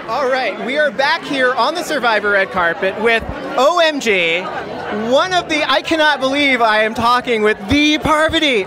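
A man's raised, projected voice at an extremely high pitch, with lively intonation and crowd noise in the background. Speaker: podcast host. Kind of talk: casual interview chat. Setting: event red carpet interviews.

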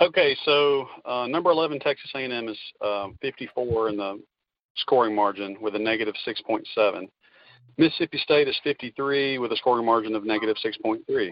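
A man with an unremarkable speaking voice talks at a moderate pace. His pitch is medium, with ordinary variation. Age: 30s. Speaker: college football fan and game picker. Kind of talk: casual sports chat.

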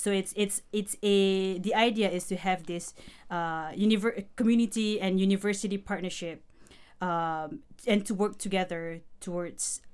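At a fairly slow pace, a woman speaks in a medium pitch with fairly even intonation on a very clean recording with a silent background. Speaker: PhD student. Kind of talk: interview discussion. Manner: hesitant, filler words.

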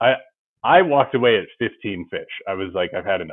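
Lively intonation at a moderate pace, with an American accent. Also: man. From Ohio, US Midwest. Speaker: fly fishing guide. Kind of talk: casual chat. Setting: video call.

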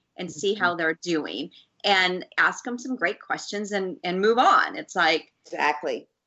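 At a fairly slow pace, a woman speaks in a normal speaking voice with ordinary pitch variation. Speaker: podcast co-host.

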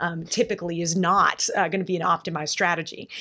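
A woman with a normal speaking voice talks at a moderate pace and a fairly low pitch. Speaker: impact investor. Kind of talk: panel discussion. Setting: live at a conference.

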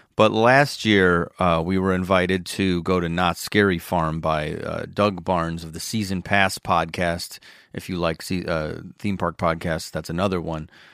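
A man with an American accent speaks at a moderate pace in a very deep, low pitch, on a very clean recording with a silent background. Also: fairly even intonation, hardly any pauses. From Chicago area. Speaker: comedian and podcast host. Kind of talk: casual chat.

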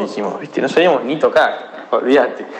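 A man speaks at a moderate pace in an Argentine accent. Audible room echo and noticeable background noise surround him. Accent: Rioplatense Argentine Spanish. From Argentina, Buenos Aires province (Pilar). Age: 20s. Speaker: DJ and electronic music producer. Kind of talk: interview. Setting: recorded voice message.

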